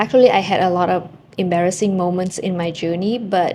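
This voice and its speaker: Talking at a moderate pace, a woman with a Vietnamese accent has a medium pitch and fairly even intonation. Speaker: language-learning vlogger. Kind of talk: casual vlog storytelling.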